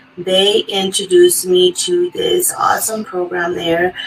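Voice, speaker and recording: A woman at a fairly slow pace with music in the background. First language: Spanish. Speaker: adult education graduate. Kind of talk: testimony. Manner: halting.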